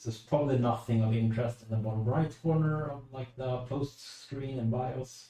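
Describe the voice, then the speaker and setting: In a Swedish accent, a man talks with fairly even intonation and hardly any pauses. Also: medium pitch for a man, moderate pace. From Sweden. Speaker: streamer. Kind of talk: live stream commentary. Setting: room, livestream while building PC.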